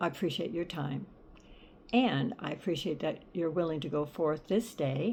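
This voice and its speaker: Using a very deep, low pitch with vocal fry, a woman speaks at a fairly slow pace with lively intonation. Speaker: storyteller. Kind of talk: reading aloud. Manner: occasional stutter.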